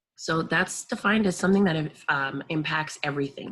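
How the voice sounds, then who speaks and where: A woman with an American accent speaks at a fairly quick pace. Her pitch is very deep and low, and her intonation is lively. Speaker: teacher. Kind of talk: lecture. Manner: casual, with frequent fillers.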